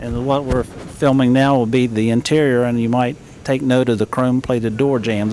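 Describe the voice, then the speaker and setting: A man with an American accent has a normal speaking voice and fairly even intonation. The sound is dry with no echo, over light background noise. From West Virginia. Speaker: classic car dealer; car owner or show guide. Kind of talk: interview. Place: hall. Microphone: old recording.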